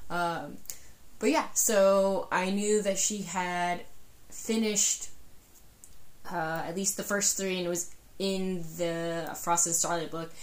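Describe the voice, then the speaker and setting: A woman at medium pitch speaks at a very slow pace, with long, frequent pauses and audible room echo. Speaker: book podcast co-host. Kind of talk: casual chat. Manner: animated.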